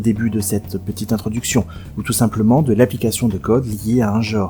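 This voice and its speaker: Over noticeable background noise, a man speaks fairly quickly in a fairly low voice with ordinary pitch variation. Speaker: video game essayist. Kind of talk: scripted narration.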